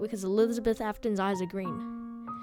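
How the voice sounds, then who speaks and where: Music plays in the background as a woman speaks at a moderate pace. Her pitch is fairly high with ordinary pitch variation. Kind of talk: video game lore explainer narration.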